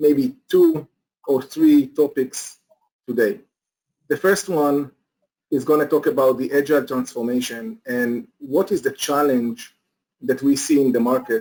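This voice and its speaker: A man with a non-native accent and a fairly high pitch, slow-paced speech, ordinary pitch variation and long, frequent pauses. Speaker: company executive presenter. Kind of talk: webinar presentation. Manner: halting, many fillers.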